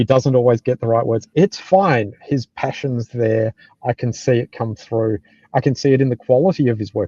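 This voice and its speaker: The speaker has an Australian accent and a dark, mellow tone that is somewhat breathy. The pace is moderate, with ordinary pitch variation. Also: man, dry, close sound with no echo. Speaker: software development manager. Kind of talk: live panel discussion.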